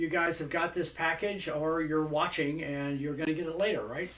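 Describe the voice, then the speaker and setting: There is audible room echo as a man with a high pitch talks at a moderate pace. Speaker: craft product instructor. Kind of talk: tutorial.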